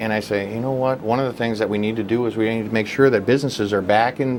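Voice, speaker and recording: Very fast delivery from a man, medium in pitch and with ordinary pitch variation. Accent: North Dakota. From North Dakota. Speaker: political candidate. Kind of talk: interview.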